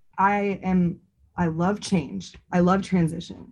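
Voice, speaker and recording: A woman speaks in a somewhat breathy voice. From San Francisco Bay Area. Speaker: podcast co-host. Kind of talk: casual chat.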